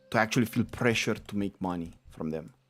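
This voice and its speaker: A man speaks at a moderate pace in a fairly low voice. His intonation is lively, with music playing in the background. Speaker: gaming streamer. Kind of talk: casual chat.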